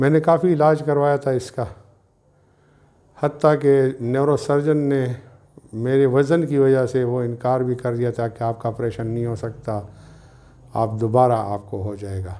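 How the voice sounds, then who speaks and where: Medium in pitch, this man's voice has a dark, mellow tone. His pitch varies in an ordinary way. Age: 60s. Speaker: patient. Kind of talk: testimonial.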